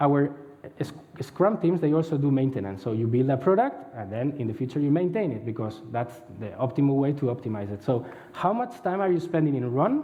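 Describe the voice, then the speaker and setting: A man's fairly high voice swings very widely in pitch, with audible room echo around it. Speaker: head of agile center of excellence. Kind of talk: conference talk. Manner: fast.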